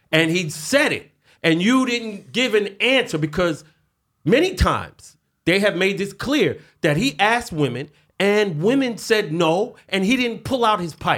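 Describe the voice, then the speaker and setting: A high-pitched man with a New York accent, animated in tone and lively in intonation, at a fairly slow pace on a very clean recording with a silent background. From New York City. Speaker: podcast host. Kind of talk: casual solo commentary. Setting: studio with some echo. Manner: animated, street slang.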